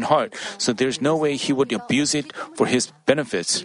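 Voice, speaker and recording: A man talks at a fairly quick pace. His pitch is fairly high, with noticeable background noise behind him. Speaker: sermon interpreter. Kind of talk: sermon. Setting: church.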